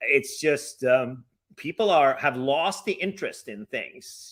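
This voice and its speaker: A man's bright, sharp voice with a Norwegian accent and ordinary pitch variation. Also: very clean recording, silent background. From Norway. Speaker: travel webcast host. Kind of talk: casual chat. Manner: halting, many fillers.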